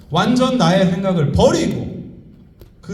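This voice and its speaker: Over noticeable background noise and audible room echo, a man with a high voice speaks in an animated tone at a fairly slow pace. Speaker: economist and professor giving a seminar talk. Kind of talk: motivational lecture to a live audience. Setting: convention center stage with audience. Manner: animated, addresses audience directly.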